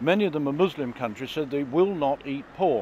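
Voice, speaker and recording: A man talks in a normal speaking voice at a moderate pace, fairly high in pitch with ordinary pitch variation. The sound is dry with no echo, with light background noise. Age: 60s. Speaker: farmer and politician. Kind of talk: political interview. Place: street. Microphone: handheld.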